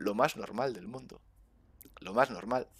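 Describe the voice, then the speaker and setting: Recorded dry with no echo against a quiet background, a man speaks with very wide pitch swings. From Spain. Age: 30s. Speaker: gaming streamer. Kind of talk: casual chat. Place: home room. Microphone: headset.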